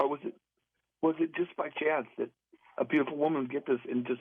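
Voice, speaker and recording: Speaking very fast with long, frequent pauses, a man uses a fairly high voice. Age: 60s. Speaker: caller. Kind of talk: emotional personal story on call-in radio. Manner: halting.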